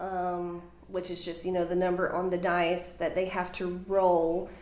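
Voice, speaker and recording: Speaking with a Southern US accent, a woman is heard through audible room echo and noticeable background noise. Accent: Southern US (Georgia). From Georgia, US South. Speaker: funeral home office manager. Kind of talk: interview. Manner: hesitant, many fillers.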